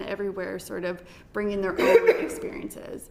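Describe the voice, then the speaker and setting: A woman's unremarkable speaking voice with a Canadian accent, at a moderate pace. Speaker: women's health campaigner. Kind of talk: parliamentary committee evidence.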